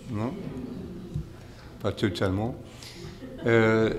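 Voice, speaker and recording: A man's medium-pitched voice with a non-native accent and audible room echo. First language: English (speaking French). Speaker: monk, spiritual teacher. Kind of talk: lecture. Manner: halting, many hesitations.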